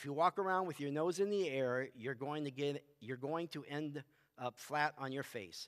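Over a quiet background, a man with a fairly high pitch talks at a moderate pace with ordinary pitch variation. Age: 50s. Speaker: youth pastor. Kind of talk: bible study teaching; sermon / bible study teaching. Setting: church with audience, also streamed. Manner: casual, halting with fillers. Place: stage.

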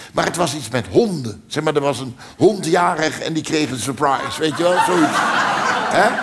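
Loud noise behind a man's moderately paced speech. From Netherlands. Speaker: cabaret comedian. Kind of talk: stand-up comedy performance. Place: stage.

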